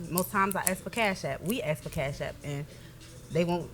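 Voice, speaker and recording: A woman talks at a very fast pace with ordinary pitch variation. Music plays in the background. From Michigan. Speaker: rapper. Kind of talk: casual chat.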